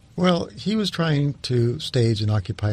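Lively intonation marks this man's somewhat breathy speech. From New Mexico, US. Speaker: history professor. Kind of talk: interview. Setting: studio. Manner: halting.

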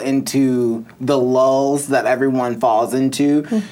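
A plain, everyday voice with an American accent speaks at a fairly slow pace. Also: man. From US Midwest, northern Illinois. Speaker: crystal and tarot entrepreneur. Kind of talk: casual interview.

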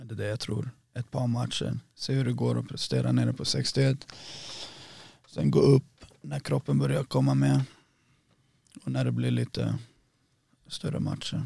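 Moderately paced male speech broken by long, frequent pauses. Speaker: MMA fighter. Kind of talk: casual chat.

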